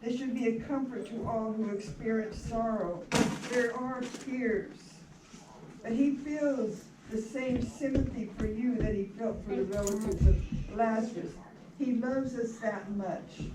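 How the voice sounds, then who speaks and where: Speaking at a fairly slow pace, a woman keeps a fairly high pitch and fairly even intonation. Noticeable background noise and audible room echo surround her. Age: 80s+. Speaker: minister officiating a memorial. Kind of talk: funeral sermon. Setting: memorial service in a rec hall.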